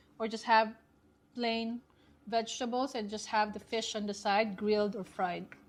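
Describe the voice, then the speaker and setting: A woman speaks at a moderate pace in a fairly high voice. Her intonation is flat and monotone, with music playing in the background. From Philippines. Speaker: cooking channel host. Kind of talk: cooking tutorial.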